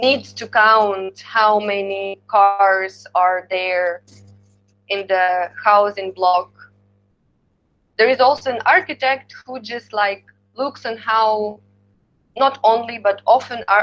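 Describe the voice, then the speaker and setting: A woman's fairly high voice in a strong Slavic accent, very slow with long, frequent pauses, ordinary pitch variation and big swings in loudness, over music in the background. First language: Ukrainian. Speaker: university lecturer. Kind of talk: lecture. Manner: halting.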